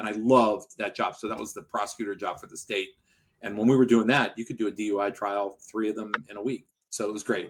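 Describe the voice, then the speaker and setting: The speech comes at a very fast pace with an American accent. The intonation is monotone and flat. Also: man, fairly low pitch for a man, big swings in loudness. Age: 60s. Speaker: personal injury lawyer, law firm owner. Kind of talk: podcast interview.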